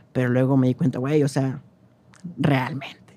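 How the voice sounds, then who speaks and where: A man talks at a fairly quick pace. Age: 20s. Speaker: cultural manager and independent publisher. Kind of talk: casual chat.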